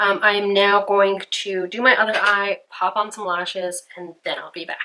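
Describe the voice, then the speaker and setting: The speaker is a woman whose pitch sits in the medium range. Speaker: beauty vlogger. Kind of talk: makeup tutorial. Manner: casual, chatty; quiet during detailed work.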